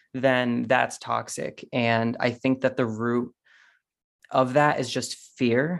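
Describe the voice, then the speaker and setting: There is a quiet background as a man speaks at a medium pitch. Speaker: podcast guest, musician. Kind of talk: casual chat. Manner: intense, self-assured.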